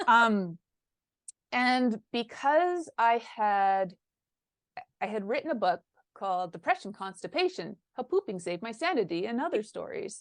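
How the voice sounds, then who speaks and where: A woman speaks at a fairly slow pace in a fairly high pitch, with very wide pitch swings and long, frequent pauses. The sound is dry and close with no echo, over a quiet background. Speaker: founder and consultant. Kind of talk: interview conversation. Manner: halting.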